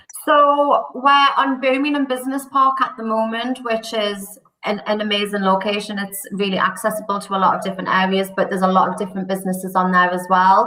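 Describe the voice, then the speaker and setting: In a Geordie accent, the speech runs at a fairly quick pace with hardly any pauses and ordinary pitch variation, over noticeable background noise. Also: woman, medium pitch for a woman. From northern England, Newcastle. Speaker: recruitment company director. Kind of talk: podcast interview.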